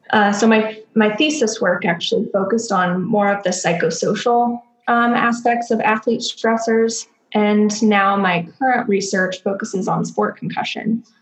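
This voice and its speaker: A woman with an American accent talks at a moderate pace in a normal speaking voice, fairly high-pitched, with fairly even intonation and very even loudness. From Texas, Dallas. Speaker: doctoral student in clinical psychology. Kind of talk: podcast interview.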